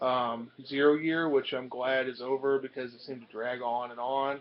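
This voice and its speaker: Using a plain, everyday voice, this man keeps a medium pitch and a moderate tempo. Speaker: comic collector vlogger. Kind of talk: casual vlog.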